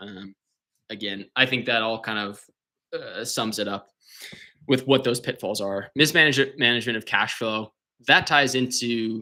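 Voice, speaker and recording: On a very clean recording with a silent background, a man with a medium pitch and a bright, sharp tone speaks with long, frequent pauses. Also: ordinary pitch variation. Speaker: remodeling contractor. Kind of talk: live-stream presentation. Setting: live stream with screen share. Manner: fast; halting, many fillers and repeats.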